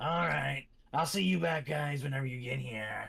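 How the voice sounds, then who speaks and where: This man puts on a raspy character voice at a medium pitch, moving along at a moderate pace. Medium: actual play. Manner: folksy, familiar.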